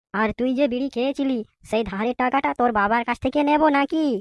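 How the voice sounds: In a cartoonish character voice, a woman speaks at a high pitch and a moderate pace, with a dry, close sound and no echo.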